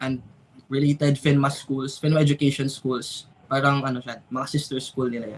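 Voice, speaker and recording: Fairly quick and somewhat breathy, a man speaks in a fairly high pitch with monotone, flat intonation. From Philippines, Misamis Oriental, Mindanao. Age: 20s. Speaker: architecture student and freelance 3D visualizer. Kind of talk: casual podcast interview, Taglish. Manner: halting, many fillers.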